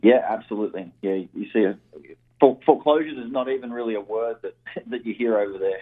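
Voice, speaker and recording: A man talks at a very fast pace with big swings in loudness. His pitch is medium, with ordinary pitch variation. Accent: Australian. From Australia. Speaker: real estate investor. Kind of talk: radio interview.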